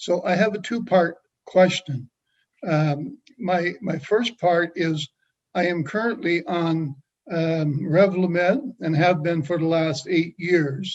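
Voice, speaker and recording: A man speaks very slowly at a high pitch. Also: ordinary pitch variation. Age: 70s. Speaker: patient. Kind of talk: audience question.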